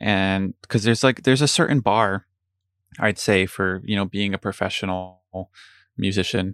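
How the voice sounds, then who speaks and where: On a very clean recording with a silent background and a dry, close sound with no echo, a man speaks in an unremarkable speaking voice at a moderate pace, fairly low in pitch with fairly even intonation. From New Jersey. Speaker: guitarist and pit musician. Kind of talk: casual interview.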